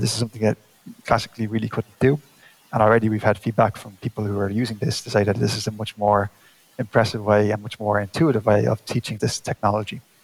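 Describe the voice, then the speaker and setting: Fairly low-pitched man with an Irish accent, very fast delivery, fairly even intonation, and a dry, close sound without echo. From Ireland. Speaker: space agency scientist. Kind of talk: interview.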